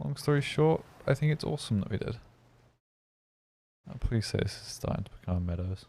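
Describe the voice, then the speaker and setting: A man of medium pitch speaks fairly quickly in a dark, mellow, somewhat breathy tone, his pitch swinging very widely. Long, frequent pauses break up his speech in a very clean recording with a silent background. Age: 20s. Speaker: gaming streamer. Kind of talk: live stream commentary. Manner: casual, rambling with fillers.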